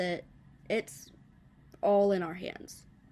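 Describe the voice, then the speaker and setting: A woman with an American accent talks fairly slowly at a medium pitch, her intonation fairly even, in a very clean recording with a silent background. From US South. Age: 20s. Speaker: bass player and singer. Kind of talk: interview.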